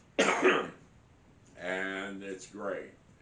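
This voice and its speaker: The recording of a man has audible room echo and noticeable background noise. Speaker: hunting and outdoors vlogger. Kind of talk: casual vlog talk to camera. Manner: halting, many fillers and repeats.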